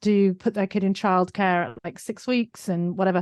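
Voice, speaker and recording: A woman with a British accent at a fairly quick pace, monotone and flat, dry and close with no echo against a quiet background. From UK. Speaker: digital marketing business owner. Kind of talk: podcast interview.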